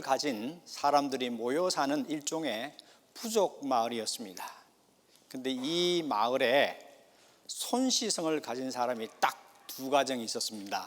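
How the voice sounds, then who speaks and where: In a Gyeongsang accent, a man talks at a very slow pace, his pitch swinging very widely. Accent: Gyeongsang Korean. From South Korea, Gyeongsang province (rural). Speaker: pastor. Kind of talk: sermon.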